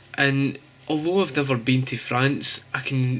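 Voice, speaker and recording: This man talks at a fairly slow pace with a Glasgow accent and a medium pitch. His intonation stays fairly even, and there is noticeable background noise. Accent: Scottish, Glasgow. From Scotland. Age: 20s. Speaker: graphic designer. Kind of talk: casual vlog talk to camera.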